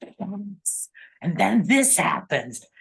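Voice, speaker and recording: A woman speaks at a very slow pace with a medium pitch. Her voice has vocal fry. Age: 70s. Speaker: author. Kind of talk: interview.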